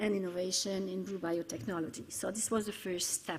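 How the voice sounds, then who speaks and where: This woman has a medium pitch and some vocal fry. She speaks at a moderate pace. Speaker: conference speaker on cooperation programme. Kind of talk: conference presentation. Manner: halting, many fillers.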